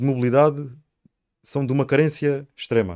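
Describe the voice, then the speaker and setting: A man speaks at a moderate pace with a plain, everyday voice. His pitch sits fairly high. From Sines, Alentejo coast, Portugal. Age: 30s. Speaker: local election candidate. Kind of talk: interview.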